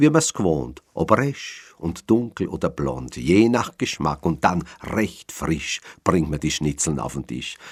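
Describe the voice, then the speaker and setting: In a Viennese accent, a man speaks with a very deep, low pitch, vocal fry and very wide pitch swings. His pace is very slow, yet he leaves hardly any pauses. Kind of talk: poetry reading.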